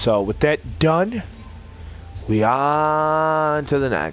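The voice belongs to a man. There is music in the background. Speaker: gaming streamer. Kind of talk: casual gaming stream, profane rambling. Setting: home stream, recorded gameplay. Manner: rambling, profane, casual.

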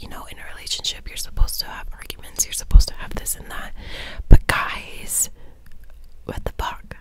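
Whispering, a woman talks. Her pace is fairly quick. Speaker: ASMR creator. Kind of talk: ASMR film talk, casual chatty commentary. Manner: whispered, soft-spoken. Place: home room. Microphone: studio mic.

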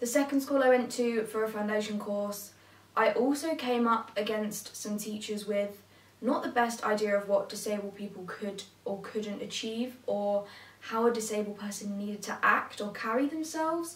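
With an English accent, a woman talks at a moderate pace in a fairly high pitch with ordinary pitch variation, and the room echo is audible. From England. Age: young. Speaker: vlogger. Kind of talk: personal vlog monologue. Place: home room.

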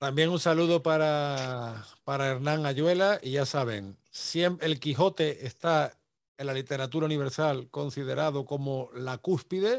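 A man's fairly high voice at a fairly slow pace, with ordinary pitch variation over a quiet background. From Andalusia, Spain (Seville area); Andalusia, Spain. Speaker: YouTube history channel host. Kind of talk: conversational interview on history and language. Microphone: video call.

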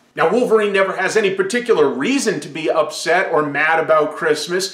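A man is speaking. Room echo can be heard. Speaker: pop culture reviewer. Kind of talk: commentary. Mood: playful, sarcastic. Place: home room.

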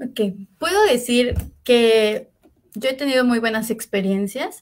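The woman has a Mexican accent. Her fairly high pitch shows ordinary variation. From Mexico, Puebla. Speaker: master's student. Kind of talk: interview. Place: home room.

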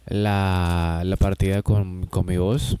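With fairly even intonation, a man speaks at a fairly low pitch in a dark, mellow tone, the sound dry with no echo. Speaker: gaming streamer. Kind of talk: casual chat to viewers. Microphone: new microphone, level seems low; studio mic.

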